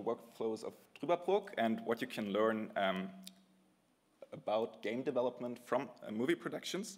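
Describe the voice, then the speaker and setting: A man talks with a German accent. His pitch swings very widely. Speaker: game developer. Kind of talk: conference talk. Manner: halting, improvised.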